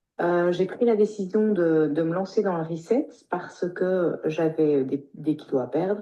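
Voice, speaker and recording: A woman's fairly low-pitched voice at a fairly slow pace, with ordinary pitch variation. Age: 50s. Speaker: pharmacist. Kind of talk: testimony. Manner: halting.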